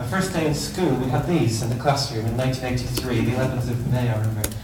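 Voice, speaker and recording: A man speaks very fast in an Irish accent. Noticeable background noise and audible room echo surround his voice. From Ireland. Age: 40s. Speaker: teacher. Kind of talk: conference talk.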